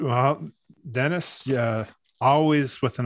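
A man with a Canadian accent and an ordinary speaking voice talks fairly slowly with fairly even intonation. The sound is dry and close, with no echo. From Canada, French and English Canadian family. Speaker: podcast co-host. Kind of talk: casual chat. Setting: studio with podcast microphones.

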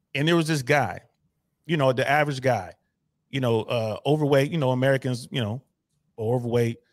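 A man at a medium pitch with ordinary pitch variation, a fairly quick pace and long, frequent pauses. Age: 50s. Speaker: caller. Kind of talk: casual chat.

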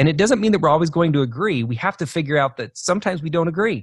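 A somewhat breathy voice with an American accent swings very widely in pitch. The sound is dry and close with no echo, over a quiet background. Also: man. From Idaho, US. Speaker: leadership coach. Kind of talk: interview.

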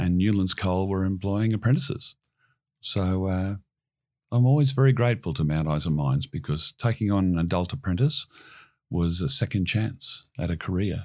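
Lively intonation carries a voice with an Australian accent at a moderate pace. The recording is very clean, with a silent background. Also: man, very deep, low pitch for a man. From Queensland, Australia. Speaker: marine industry CEO. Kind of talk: interview.

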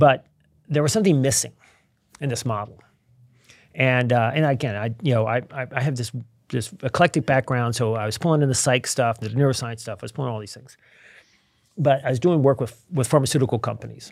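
A man with an American accent speaks at medium pitch and a fairly quick pace, with ordinary pitch variation and big swings in loudness. Long, frequent pauses break up his speech, and the recording is very clean with a silent background. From Virginia. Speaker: behavioral science author. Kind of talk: casual interview. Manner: halting, many repetitions.

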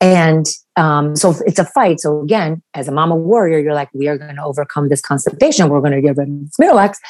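Her pitch is very deep and low for a woman. She speaks at a fairly quick pace. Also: ordinary pitch variation. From Romania. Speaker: pediatrician. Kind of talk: interview. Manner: animated.

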